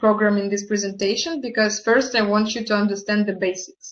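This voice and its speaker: The speaker is a woman with a fairly high pitch and a non-native accent. Her intonation stays monotone and flat. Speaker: network marketing partner presenting products. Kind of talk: online product presentation. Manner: halting, with hesitations.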